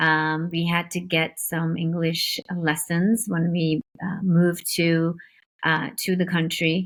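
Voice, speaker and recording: A woman speaks at a very slow pace. The recording is very clean, with a silent background. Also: fairly low pitch for a woman. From India. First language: Indian language. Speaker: entrepreneur. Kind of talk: interview. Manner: hesitant with many fillers.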